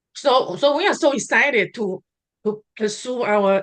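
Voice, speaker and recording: A woman speaks in a fairly high voice with a Taiwanese accent. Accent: Taiwanese Mandarin-accented English. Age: 50s. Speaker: real estate investor. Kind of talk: interview. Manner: halting, many fillers and restarts.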